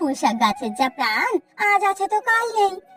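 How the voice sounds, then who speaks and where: A woman puts on a squeaky character voice, pitched extremely high with very wide swings in pitch. She speaks at a moderate pace over faint background music. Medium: cartoon. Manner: chatty, teasing.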